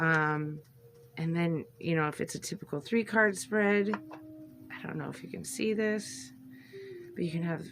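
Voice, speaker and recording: Against noticeable background noise, a woman with a very deep, low voice speaks with lively intonation. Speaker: tarot and oracle card content creator. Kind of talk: casual unboxing video. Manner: chatty, hesitant with fillers.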